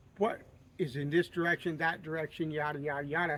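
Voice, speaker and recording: In a Southern US accent, a man with a fairly high pitch and a bright, sharp tone speaks at a moderate pace with fairly even intonation. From US South. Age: 60s. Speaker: outdoorsman video creator. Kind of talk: casual storytelling and advice.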